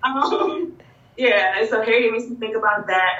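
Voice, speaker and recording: Against noticeable background noise, a woman with a fairly high pitch speaks in very wide pitch swings. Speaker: bookstore owner and educator. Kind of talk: interview conversation.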